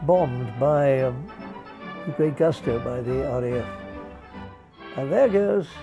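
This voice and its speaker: A man speaks at a fairly slow pace with lively intonation. Music plays in the background. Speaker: air show commentator, retrospective narrator. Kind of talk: casual spoken commentary over newsreel footage. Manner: unscripted, hesitant, conversational.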